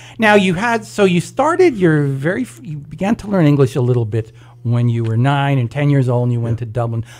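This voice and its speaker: A man uses a normal speaking voice with fairly high pitch, lively intonation and a fairly quick pace. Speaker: radio host. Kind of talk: radio interview questions.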